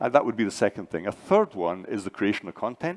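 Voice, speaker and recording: A man speaks with a Scottish accent. The sound is dry and close, with no echo. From Scotland. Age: 60s. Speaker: AI and learning entrepreneur, conference speaker. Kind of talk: conference panel discussion.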